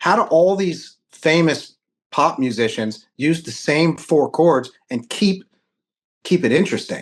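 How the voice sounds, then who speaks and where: A man with an American accent speaks at a fairly slow pace in a fairly high pitch, his intonation lively against a quiet background. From Reading, Pennsylvania, US. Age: 40s. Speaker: guitar tech and shop co-owner. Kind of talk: casual chat. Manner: animated.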